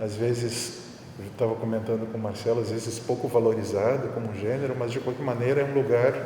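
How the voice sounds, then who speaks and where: A man speaks at a medium pitch with fairly even intonation. There is noticeable background noise and audible room echo. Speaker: art professor. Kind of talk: public talk. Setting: public event with audience. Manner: slow; hesitant. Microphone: muffled by face mask.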